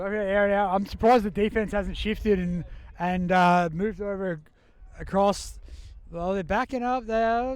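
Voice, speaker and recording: Loud and high-pitched for a man, this voice carries an Australian accent at a moderate pace. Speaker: sports commentator. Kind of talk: live commentary. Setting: outdoors. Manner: animated.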